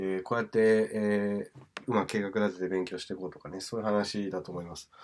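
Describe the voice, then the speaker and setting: A man talks at a fairly quick pace. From Tokyo, Japan. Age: 30s. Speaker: English teacher and DJ; English teacher. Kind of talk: talking-head video monologue; lecture. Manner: casual with many fillers. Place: home room. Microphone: phone near.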